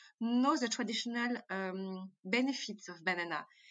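A woman speaks at a fairly high pitch with a bright, sharp tone. Her pace is moderate and her pitch variation ordinary. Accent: French. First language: French. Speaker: entrepreneur and founder of a banana-based cosmetics company. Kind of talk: interview answers. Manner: halting, with fillers and hesitations.

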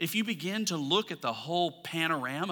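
A man's bright, sharp voice, fairly high in pitch, at a fairly slow pace. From US South, Alabama. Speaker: pastor. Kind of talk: sermon.

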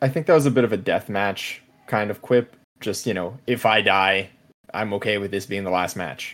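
Talking at a moderate pace in an ordinary speaking voice, a man keeps a fairly low pitch with ordinary variation. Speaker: wrestling podcast co-host. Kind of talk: casual chat.

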